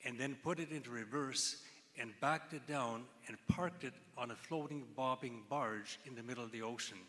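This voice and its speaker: A man with an ordinary speaking voice and ordinary pitch variation. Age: 60s. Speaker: cancer researcher giving convocation address. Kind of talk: convocation speech.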